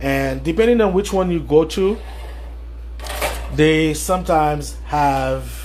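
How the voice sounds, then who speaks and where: The speech moves at a fairly slow pace with long, frequent pauses, over noticeable background noise and audible room echo. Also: man. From Haiti, Port-au-Prince. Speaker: chef. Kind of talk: live cooking demonstration. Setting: livestream. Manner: casual, with many fillers.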